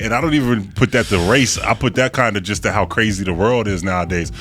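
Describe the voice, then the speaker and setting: Speaking at a very fast pace, a man is heard. The variation in his pitch is ordinary. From Germany, then Virginia. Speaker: podcast guest. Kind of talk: casual chat. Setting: studio.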